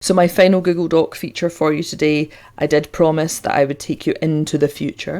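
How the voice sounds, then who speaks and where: A woman with a Scottish accent has a very deep, low pitch and a dark, mellow tone. Her intonation is fairly even on a very clean recording with a silent background. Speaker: teacher and tech tutorial host. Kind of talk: tutorial.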